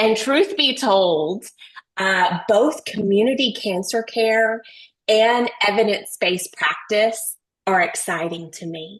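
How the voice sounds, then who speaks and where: A woman speaks very slowly in an American accent. Her intonation is lively. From Texas. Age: 40s. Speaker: nurse researcher, webinar speaker. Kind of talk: webinar presentation.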